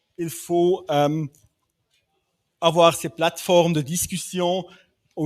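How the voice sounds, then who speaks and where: A man speaks at a very slow pace in a high voice, his intonation fairly even. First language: not French (speaking French). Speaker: development bank specialist. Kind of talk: panel discussion. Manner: halting, many hesitations.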